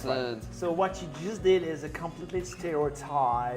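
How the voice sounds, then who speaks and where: Over music in the background, a man with a fairly high pitch and a French accent speaks at a moderate pace with ordinary pitch variation. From France. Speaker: university French and literature professor.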